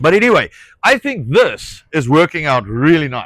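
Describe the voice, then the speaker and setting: A man with a South African accent speaks at a high pitch. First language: Afrikaans. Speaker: rancher. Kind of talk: casual chat. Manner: halting.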